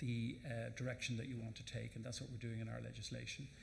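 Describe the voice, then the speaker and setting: A man with an Irish accent talks at a very fast pace in a medium pitch, his somewhat breathy delivery flat and monotone, with audible room echo around him. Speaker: government minister. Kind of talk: panel Q&A answer. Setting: conference stage with audience. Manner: halting.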